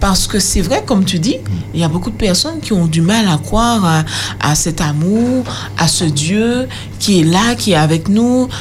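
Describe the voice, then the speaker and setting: A woman with a fairly low pitch speaks at a moderate pace, her pitch swinging very widely while her loudness stays very even. Noticeable background noise and audible room echo fill the recording. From Martinique, Le Lamentin. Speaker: youth panelist. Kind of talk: radio panel discussion.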